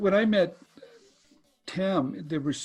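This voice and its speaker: Speaking very slowly, a man's somewhat breathy voice carries lively intonation. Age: 60s. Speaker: inventor and licensing educator. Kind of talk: interview.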